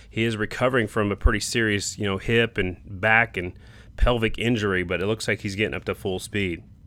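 A man speaks at a fairly quick pace in a fairly low voice with a bright, sharp tone and fairly even intonation. The recording is very clean, with a silent background. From South Dakota. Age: 50s. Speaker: motorsport podcast host. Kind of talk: solo podcast recap. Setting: cabin during rally. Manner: casual.

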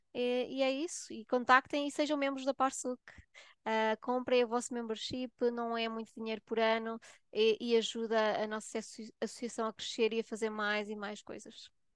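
A woman in a normal speaking voice, fairly high in pitch, with fairly even intonation, big swings in loudness and a dry, close sound with no echo. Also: moderate pace. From Portugal. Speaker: nurse and health researcher. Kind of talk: casual chat.

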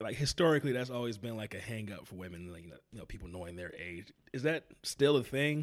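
Speaking at a very fast pace with hardly any pauses, a man uses a medium pitch and an American accent. His loudness swings widely. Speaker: podcast host. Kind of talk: casual interview chat.

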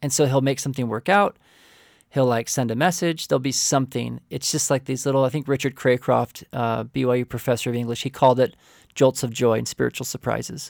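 A man with an American accent at medium pitch, very fast, with fairly even intonation, in a very clean recording with a silent background and a dry, close sound with no echo. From Oklahoma (rural), from age seven. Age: 40s. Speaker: marriage and family therapist. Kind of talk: interview testimony.

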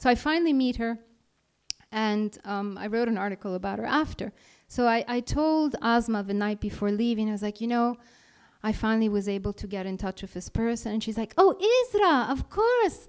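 In an Italian accent, a woman talks at a fairly high pitch with ordinary pitch variation. Her pace is fairly quick. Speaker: freelance journalist. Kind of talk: live talk to an audience. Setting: stage with audience.

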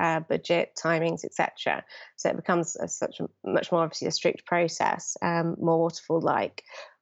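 A woman with a British accent at a moderate pace. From London, England. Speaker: digital project manager. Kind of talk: interview.

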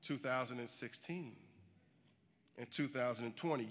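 Medium pitch from a man with a bright, sharp tone and ordinary pitch variation, in a very clean recording against a silent background. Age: 40s. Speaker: social justice advocate. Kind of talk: keynote speech. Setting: stage with audience.

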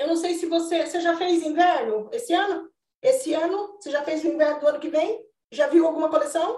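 With lively intonation, a woman speaks at a fairly quick pace in an extremely high pitch. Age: 40s. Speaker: retail consultant and mentor. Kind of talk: casual chat.

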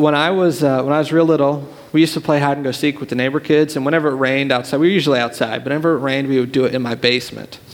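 A man speaks at a very fast pace with fairly even intonation. His pitch is fairly high, and background noise is noticeable. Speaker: youth pastor. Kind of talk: sermon. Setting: church.

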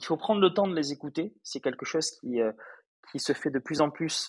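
A man speaks with ordinary pitch variation. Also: dry, close sound with no echo. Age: 30s. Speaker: startup founder. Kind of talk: interview. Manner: hesitant, many filler sounds.

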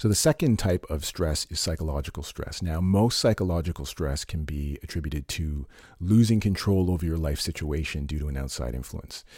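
A man with a very deep, low voice speaks at a fairly quick pace with ordinary pitch variation. His tone is dark, mellow and somewhat breathy. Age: 40s. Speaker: fitness podcast host. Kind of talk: solo informational talk.

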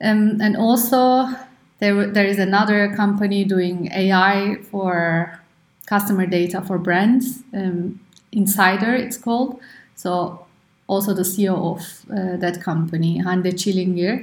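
Audible room echo surrounds this fairly slow speech with fairly even intonation. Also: woman, medium pitch for a woman. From Turkey. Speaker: startup co-founder and engineer. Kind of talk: interview.

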